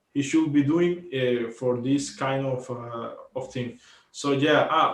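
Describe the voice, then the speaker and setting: The speaker is a man with a Spanish accent and a medium pitch. He talks at a very slow pace. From Cuba. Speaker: volleyball podcast co-host. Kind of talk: casual sports commentary chat. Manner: halting, many fillers and repetitions.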